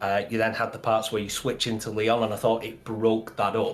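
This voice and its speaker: At a fairly quick pace, a man with a medium pitch talks in a Mancunian accent. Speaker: gaming podcast co-host. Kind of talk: casual chat. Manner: halting.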